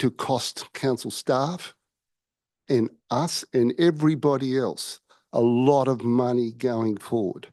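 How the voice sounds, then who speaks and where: Against a quiet background, a man with an Australian accent and a dark, mellow tone speaks at a very slow pace. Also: dry, close sound with no echo. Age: 60s. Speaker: member of the public. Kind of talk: public forum address. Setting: council chamber. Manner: halting.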